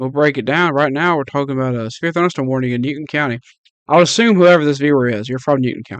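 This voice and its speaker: A man with a fairly high pitch races along at a very fast pace, his pitch varying in an ordinary way. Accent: Mississippi. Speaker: amateur weather streamer. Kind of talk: live weather coverage. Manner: slurring words; casual, conversational.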